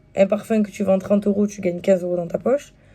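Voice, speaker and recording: A woman speaks in a somewhat breathy way. Her intonation stays fairly even. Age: 20s. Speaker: YouTuber and stay-at-home mom selling wellness products. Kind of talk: casual vlog, product presentation. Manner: hesitant, many fillers.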